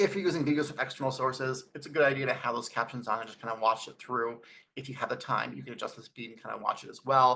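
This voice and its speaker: Talking at a very fast pace, a man at medium pitch has a bright, sharp tone with vocal fry, ordinary pitch variation, and big swings in loudness. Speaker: educational technology presenter. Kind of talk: webinar presentation. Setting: video call. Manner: varying speed; mumbles at times.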